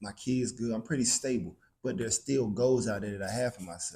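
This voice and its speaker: Somewhat breathy, dark and mellow man's voice at medium pitch, fairly quick in pace, with ordinary pitch variation. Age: 30s. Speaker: podcast host. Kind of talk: casual interview chat.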